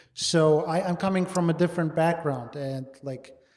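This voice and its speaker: In audible room echo, a man with a high pitch speaks at a fairly slow pace. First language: not English. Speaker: podcast host and personal trainer. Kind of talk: casual podcast chat.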